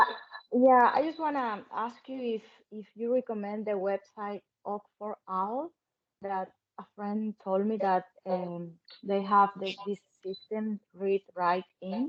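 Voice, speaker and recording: A woman's very slow delivery with ordinary pitch variation. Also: medium pitch for a woman. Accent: Spanish. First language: Spanish. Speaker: parent. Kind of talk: online Q&A question. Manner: halting.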